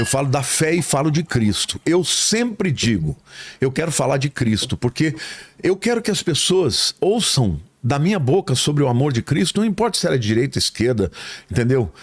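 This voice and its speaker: A man's fairly high voice with vocal fry, very wide pitch swings and very even loudness, at a moderate pace, in a dry, close sound with no echo. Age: 60s. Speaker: pastor. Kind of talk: casual chat.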